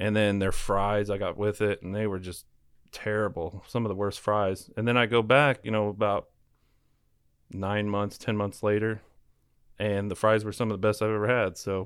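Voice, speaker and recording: On a very clean recording with a silent background, a man with a Midwestern US accent speaks at a moderate pace and fairly low pitch in a monotone, flat intonation. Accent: US Midwest. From Kansas, Wichita. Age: 30s. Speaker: food reviewer. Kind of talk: casual chat.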